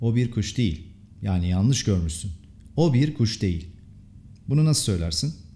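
A man with a fairly low, somewhat breathy voice and a dark, mellow tone speaks at a moderate pace, using very wide pitch swings, very even loudness, and long, frequent pauses. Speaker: English teacher. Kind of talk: language lesson tutorial.

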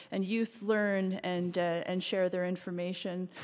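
Her intonation monotone and flat, a woman speaks at a moderate pace. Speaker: speaker. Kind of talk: formal testimony at a public meeting. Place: hall. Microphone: podium.

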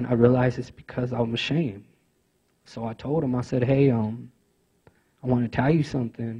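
Against a quiet background, a man with a dark, mellow, somewhat breathy tone talks at a fairly quick pace, with fairly even intonation and long, frequent pauses. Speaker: youth navigator at a rehabilitation organization; former prisoner. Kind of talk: conference speech. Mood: earnest, reflective. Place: meeting room. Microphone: handheld.

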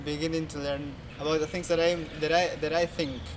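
Moderate pace and fairly even intonation in a Spanish accent, with noticeable background noise. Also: man. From Peru. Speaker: university student. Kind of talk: interview testimony. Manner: halting.

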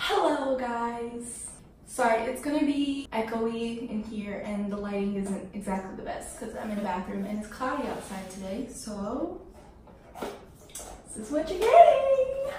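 Speaking at a fairly slow pace, a woman is heard with audible room echo and noticeable background noise. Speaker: vlogger. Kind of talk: casual vlog chat. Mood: nervous, anxious, laughing. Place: bathroom. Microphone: camera far.

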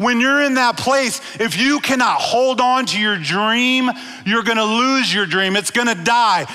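Over clear background noise, a man with an extremely high pitch talks at a fairly slow pace with ordinary pitch variation.

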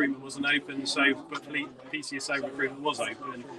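This is a man speaking. Noticeable background noise runs beneath him. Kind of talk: interview answer. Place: car.

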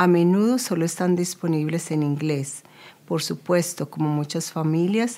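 A woman's dark, mellow voice, fairly low in pitch, at a fairly slow pace. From Colombia. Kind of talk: scripted narration. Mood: calm, serious. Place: office.

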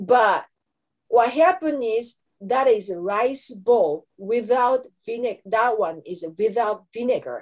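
With a Japanese accent, a woman with a fairly high voice speaks very slowly, her intonation lively. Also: quiet background. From Japan, Kanto region. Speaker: anthropology professor; professor presenting a lecture. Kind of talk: lecture. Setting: webinar. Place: home room. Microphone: webcam.

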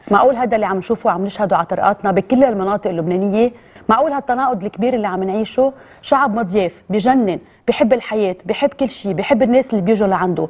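Talking at a very fast pace, a woman uses a fairly high pitch and lively intonation. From Lebanon. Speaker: TV presenter. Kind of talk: emotional address to camera. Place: studio.

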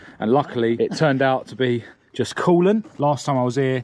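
Recorded with a dry sound and no echo, a man speaks. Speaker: car repair vlogger. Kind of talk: tutorial. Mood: cheerful, relaxed. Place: street. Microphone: phone near.

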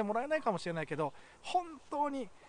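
A man speaks with very wide pitch swings, his dry, echo-free sound set against light background noise. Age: 40s. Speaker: YouTuber with a rare illness. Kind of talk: video message to viewers; heartfelt message to viewers. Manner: halting. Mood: earnest, encouraging. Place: forest.

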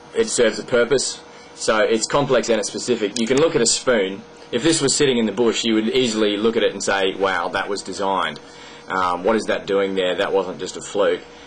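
Ordinary pitch variation in an Australian accent, with light background noise. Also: man. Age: 20s. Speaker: video blogger. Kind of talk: monologue explaining an argument to camera. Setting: at home desk recording a video. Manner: hesitant, many fillers. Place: home room. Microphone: webcam.

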